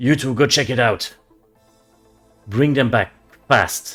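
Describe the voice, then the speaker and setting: A man puts on a booming character voice at a medium pitch and moderate pace. Faint music plays in the background. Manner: commanding.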